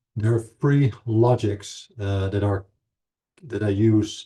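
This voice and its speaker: In a Dutch accent, a man with a fairly low pitch and a dark, mellow tone speaks at a fairly slow pace with fairly even intonation. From Netherlands. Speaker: anthropology professor. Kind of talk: lecture. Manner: halting, many fillers.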